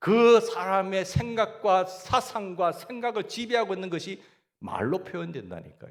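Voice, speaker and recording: Speaking fairly slowly in a Gyeongsang accent, a man with a high voice uses ordinary pitch variation. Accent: Gyeongsang dialect, stress at front. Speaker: pastor. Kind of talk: sermon.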